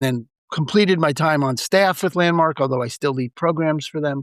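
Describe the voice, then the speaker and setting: A man speaks in a New York accent with ordinary pitch variation. The recording is very clean, with a silent background and a dry, close sound with no echo. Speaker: real estate broker and mindfulness speaker. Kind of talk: podcast interview. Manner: fast.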